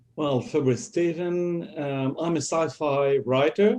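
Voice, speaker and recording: The speaker is a man with a French accent. He talks at a fairly slow pace. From France. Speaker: sci-fi author. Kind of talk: panel discussion.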